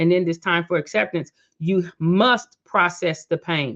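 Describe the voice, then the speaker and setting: A woman's fairly low pitch in a normal speaking voice, with ordinary pitch variation. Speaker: motivational speaker and podcast host. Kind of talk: reflective podcast monologue. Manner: casual, conversational.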